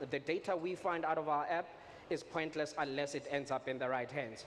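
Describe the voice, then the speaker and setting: A fairly quick pace and fairly even intonation, with a Botswana accent. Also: man. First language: Setswana. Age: young. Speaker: edtech startup founder. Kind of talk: conference talk.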